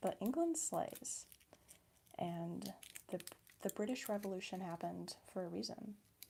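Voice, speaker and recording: This woman talks at a moderate pace, breaking often for long pauses. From US Midwest. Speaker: ASMR livestreamer. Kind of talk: casual livestream chat while crafting. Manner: animated.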